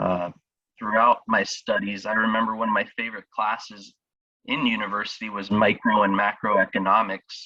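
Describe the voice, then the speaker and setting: An American-accented man speaks at a moderate pace in a bright, sharp tone with monotone, flat intonation. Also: fairly low pitch for a man. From US South, Miami, Florida. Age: 20s. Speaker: startup founder. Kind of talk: interview. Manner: halting, many fillers.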